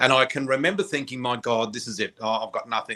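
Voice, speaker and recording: A man with an Australian accent, bright and sharp in tone, with ordinary pitch variation. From Australia, New South Wales south coast. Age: 60s. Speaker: psychic flower reader. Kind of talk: interview, personal story.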